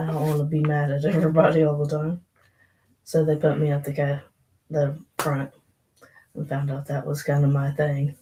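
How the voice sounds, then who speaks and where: Soft-spoken and somewhat breathy, a woman with a very deep, low pitch and a dark, mellow tone speaks at a moderate pace in a monotone, flat intonation with long, frequent pauses. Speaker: podcast co-host. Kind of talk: casual chat. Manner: quiet.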